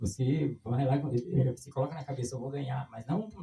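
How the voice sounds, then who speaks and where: The speaker has a somewhat breathy, dark, mellow tone, with ordinary pitch variation and a moderate pace. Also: man. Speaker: street runner. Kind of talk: interview.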